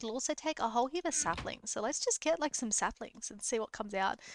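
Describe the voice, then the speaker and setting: A woman speaks with an Australian accent and lively intonation, her pitch fairly high. The recording is very clean, with a silent background. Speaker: gaming youtuber. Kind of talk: let's play commentary. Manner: casual, hesitant with fillers.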